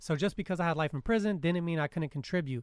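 Recorded in a dry, close sound with no echo, a man with an American accent speaks at a fairly high pitch. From Southern California, Riverside County. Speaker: formerly incarcerated graduating student. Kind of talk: interview.

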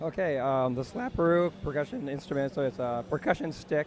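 There is music in the background. A man speaks at a moderate pace with ordinary pitch variation. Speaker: instrument inventor. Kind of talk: interview. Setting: trade show floor.

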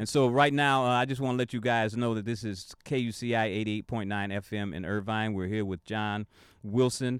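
A man speaks in a plain, everyday voice at a medium pitch and moderate pace with fairly even intonation. The recording is very clean, with a silent background. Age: 60s. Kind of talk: radio talk show interview; reading his own blog aloud. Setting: radio studio.

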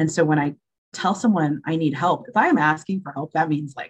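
A woman speaks fairly quickly in a very deep, low, somewhat breathy voice. Her pitch varies in an ordinary way. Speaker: interview guest sharing mental health experience. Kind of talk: testimony. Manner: calm, steady.

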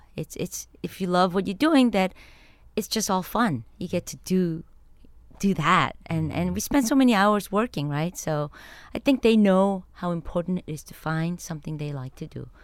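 Speaking with a Korean accent at a moderate pace, a woman at a medium pitch uses lively intonation and big swings in loudness in a very clean recording with a silent background. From Korea, then New York City from 13. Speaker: chemist. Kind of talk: interview. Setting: studio.

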